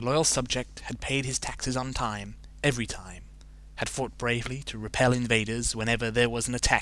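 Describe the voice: Fairly even intonation in plain reading aloud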